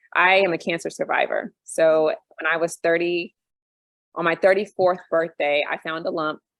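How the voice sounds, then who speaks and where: A woman with an unremarkable speaking voice, fairly low pitch, fairly even intonation and an American accent, at a fairly slow pace. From US, Army brat (US and Europe). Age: 40s. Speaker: expat panel guest. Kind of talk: casual panel discussion.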